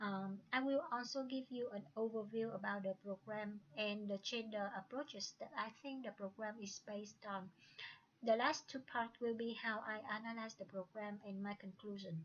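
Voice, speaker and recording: A woman's somewhat breathy, fairly high voice with a Vietnamese accent, fairly even intonation and a moderate pace. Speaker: student. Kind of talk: presentation. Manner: halting.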